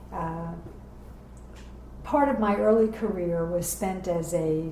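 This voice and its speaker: Amid noticeable background noise and audible room echo, a woman with a New York accent speaks at a fairly slow pace and a fairly low pitch with ordinary pitch variation. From New York City (Bronx, Queens). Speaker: professional organizer. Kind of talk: oral history interview.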